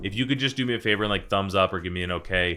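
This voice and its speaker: Music plays in the background as a man talks at a very fast pace in a fairly low pitch with ordinary pitch variation. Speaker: real estate team leader and coach. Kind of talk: tutorial. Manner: casual, conversational.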